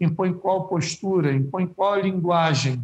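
A man with a high pitch, ordinary pitch variation and a fairly slow pace. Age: 50s. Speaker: university professor of physical education. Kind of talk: interview.

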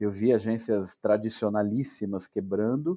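A man's fairly low, dark and mellow voice at a fairly slow pace, with ordinary pitch variation, in a dry, close sound with no echo and a quiet background. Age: 40s. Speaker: travel and cycling startup founder. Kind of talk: casual interview.

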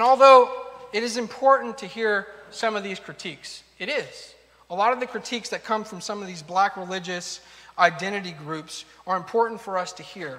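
A man with a high pitch and a bright, sharp tone projects a raised voice, his loudness swinging widely. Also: ordinary pitch variation, moderate pace. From United States, Argentine-Peruvian immigrant family. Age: 30s. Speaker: pastor. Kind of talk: sermon.

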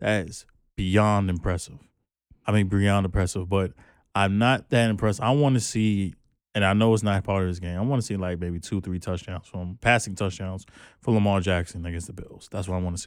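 An ordinary speaking voice, this man's has a fairly low pitch and an American accent, moving at a moderate pace with big swings in loudness. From New York, the Bronx. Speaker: podcast co-host. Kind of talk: casual chat.

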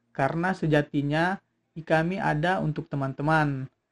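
Over music in the background, a man with a fairly high voice speaks at a moderate pace with fairly even intonation, the sound dry and close with no echo. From South Sulawesi, Palopo. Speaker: student organization chairman. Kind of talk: informational talk.

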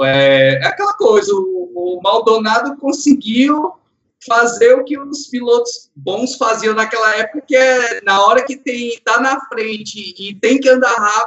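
A man's extremely high-pitched voice with very wide pitch swings, at a fairly slow pace. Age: 40s. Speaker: subscriber guest, motorsport fan. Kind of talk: casual chat.

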